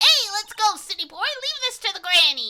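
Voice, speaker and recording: A put-on character voice at a moderate pace. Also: woman. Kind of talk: folksy, rural.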